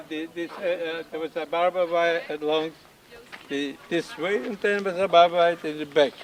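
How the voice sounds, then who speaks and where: A high-pitched man's voice over noticeable background noise. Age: 90s. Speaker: former internee giving a tour. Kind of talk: guided site tour. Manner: halting.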